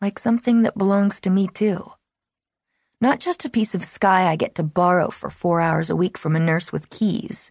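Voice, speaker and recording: Against a quiet background, a woman talks at a moderate pace in a somewhat breathy voice with lively intonation. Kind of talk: audiobook narration, first-person reading of a teen novel. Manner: brooding, wary and intimate, like a guarded teen confiding.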